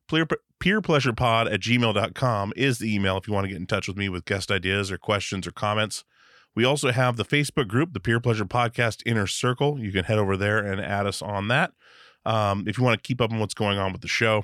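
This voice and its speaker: The man speaks at a very fast pace. The sound is dry and close, with no echo. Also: fairly low pitch for a man, ordinary pitch variation. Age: 40s. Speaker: podcast host. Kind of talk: casual interview. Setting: remote call. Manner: animated.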